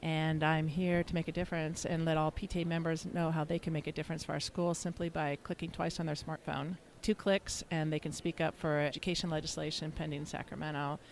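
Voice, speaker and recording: Speech comes at a very fast pace in a Californian accent, with hardly any pauses. The intonation is monotone and flat. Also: woman, very deep, low pitch for a woman. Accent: Californian American. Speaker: app founder and advocate, former trial attorney. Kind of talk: interview. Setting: convention center.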